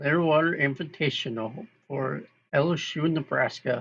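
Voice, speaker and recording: A loud voice with a bright, sharp tone over a quiet background. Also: man. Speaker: amateur sports commentator. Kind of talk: live play-by-play commentary. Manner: casual, halting with self-corrections.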